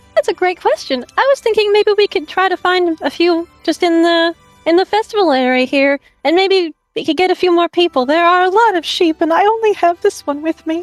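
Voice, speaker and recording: Using a put-on character voice with a gentle tone, a woman speaks at an extremely high pitch and fairly quick pace, faint music in the background. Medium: actual play. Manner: sweet, polite, gentle.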